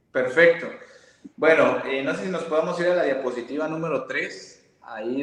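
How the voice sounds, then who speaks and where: A man with a fairly high pitch. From Mexico, Veracruz. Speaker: physiotherapist. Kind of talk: interview with presentation.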